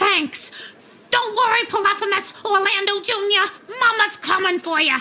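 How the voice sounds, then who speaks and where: A woman uses a put-on character voice at an extremely high pitch. She keeps a moderate pace, very even loudness and ordinary pitch variation. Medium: video game. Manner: ranting, sarcastic.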